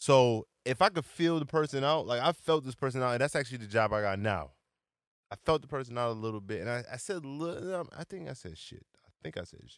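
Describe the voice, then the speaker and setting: A man speaks in a plain, everyday voice at a medium pitch and a fairly quick pace, with lively intonation and big swings in loudness. The recording is very clean with a silent background, and the sound is dry and close with no echo. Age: 20s. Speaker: podcast co-host. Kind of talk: casual chat.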